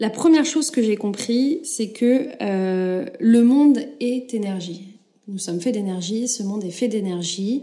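A woman speaks with a fairly high pitch and lively intonation. Her pace is fairly slow. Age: 30s. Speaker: podcast host. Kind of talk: personal testimony. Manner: halting, many fillers.

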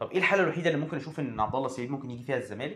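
A man talks at a medium pitch. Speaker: football podcaster. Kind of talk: solo commentary monologue.

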